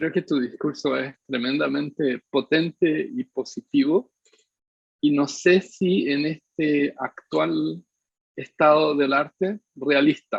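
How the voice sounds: A man's fairly high voice with vocal fry and a slightly husky edge, fairly even intonation and a slow pace. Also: dry, close sound with no echo.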